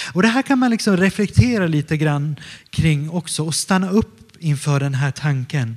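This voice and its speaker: A normal speaking voice: a man with fairly high pitch, lively intonation, and a moderate pace. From Stockholm area, Sweden, partly northern Italy. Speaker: pastor. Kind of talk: sermon.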